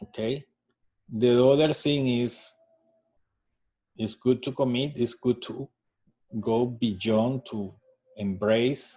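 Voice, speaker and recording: With a Spanish accent and a dark, mellow tone, a man talks very slowly at a medium pitch, using fairly even intonation and long, frequent pauses. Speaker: astrology card reader. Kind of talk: tutorial. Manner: halting.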